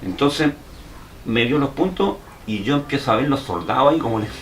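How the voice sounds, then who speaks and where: Noticeable background noise sits behind the speech. A man talks at a medium pitch with lively intonation. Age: 60s. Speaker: war veteran. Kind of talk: interview. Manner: halting.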